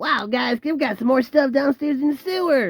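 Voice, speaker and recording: A put-on character voice drawls at a high pitch and a moderate pace. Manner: laid-back.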